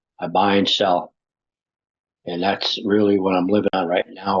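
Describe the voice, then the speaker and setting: A man's fairly low voice with an American accent, moderate pace and monotone, flat intonation. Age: 60s. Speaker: interviewee, gig worker. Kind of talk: interview testimony.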